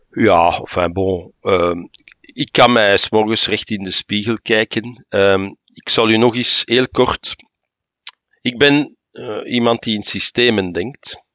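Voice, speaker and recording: With a Flemish accent, a man speaks at a very slow pace. His medium pitch shows ordinary variation. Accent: Flemish Dutch. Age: 60s. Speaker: senior civil servant. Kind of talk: interview.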